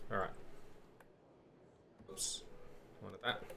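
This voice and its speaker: A man talks with an Australian accent at a moderate pace. Audible room echo is present. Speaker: gaming streamer. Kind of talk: live gameplay commentary. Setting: live stream.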